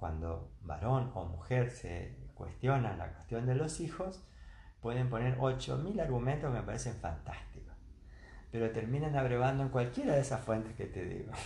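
Audible room echo surrounds a man whose medium-pitched voice shows vocal fry and lively intonation. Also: moderate pace. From Argentina, Entre Ríos (Concepción del Uruguay). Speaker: retired engineer and university lecturer. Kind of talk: casual interview.

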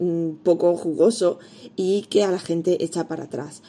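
This woman's voice sits fairly low in pitch and carries a dark, mellow tone. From Spain, Elda (Alicante). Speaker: pastry chef and baking teacher, podcast host. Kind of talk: solo podcast tutorial.

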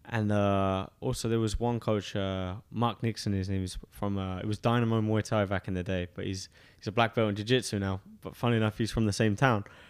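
This man talks at a fairly quick pace with hardly any pauses, his fairly low voice held in a monotone, flat intonation. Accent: English. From eastern England, Suffolk. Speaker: professional MMA fighter. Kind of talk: interview. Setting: studio.

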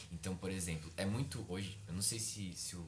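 Audible room echo surrounds a somewhat breathy man talking at a fairly quick pace with ordinary pitch variation. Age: 20s. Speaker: psychology student and preacher. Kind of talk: casual chat.

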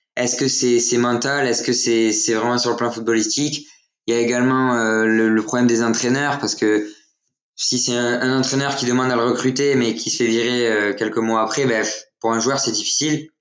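With audible room echo, a man at medium pitch talks at a moderate pace in a monotone, flat way. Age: young. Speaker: football social media account runner. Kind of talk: casual chat.

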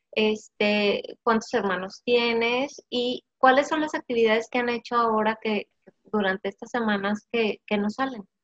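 The recording is dry and close with no echo, as a woman speaks at a fairly slow pace. Her fairly high voice has ordinary pitch variation. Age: 40s. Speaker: podcast host, business coach. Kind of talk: casual interview. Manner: animated.

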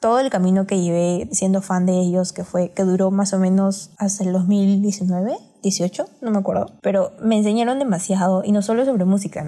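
A woman speaks at a medium pitch and a moderate pace, somewhat breathy, with a dark, mellow tone. Her intonation stays fairly even on a very clean recording with a silent background. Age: 20s. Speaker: podcast co-host. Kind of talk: casual chat.

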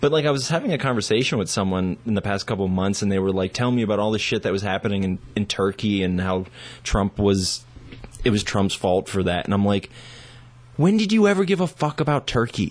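A man with an American accent speaks at a fairly quick pace in an unremarkable speaking voice, his fairly low pitch showing ordinary variation. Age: 30s. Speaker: musician and writer. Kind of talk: casual chat. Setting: studio.

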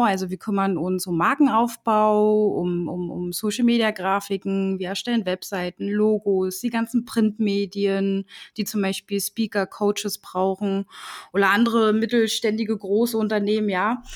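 Recorded very cleanly with a silent background and a dry, close sound with no echo, a woman speaks at a moderate pace in a medium pitch with monotone, flat intonation. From Berlin, Germany. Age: 20s. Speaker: designer and agency owner. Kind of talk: casual interview.

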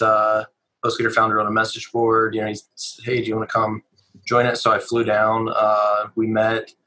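With an American accent, a man speaks at medium pitch in a bright, sharp tone. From rural West Virginia. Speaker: entrepreneur. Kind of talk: interview. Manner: halting, many fillers.

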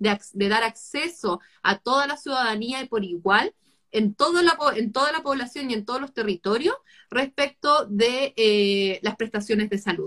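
A woman speaks at a moderate pace with a fairly high pitch and lively intonation. Her tone is bright and sharp, the sound dry and close with no echo. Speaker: talk series host. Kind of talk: live online conversation.

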